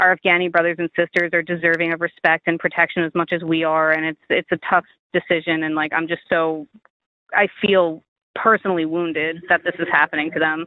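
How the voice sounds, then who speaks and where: A woman with a Long Island accent speaks at a fairly quick pace in a fairly low voice, her intonation monotone and flat. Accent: Long Island, New York. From Stony Brook, New York. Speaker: Marine Corps veteran, former intelligence linguist. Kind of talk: oral history interview answer.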